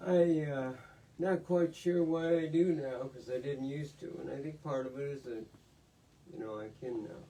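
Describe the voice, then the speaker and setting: A man's normal speaking voice at a fairly high pitch, moderate pace, ordinary pitch variation, and big swings in loudness. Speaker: author, retired lawyer. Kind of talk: casual chat at book event Q&A.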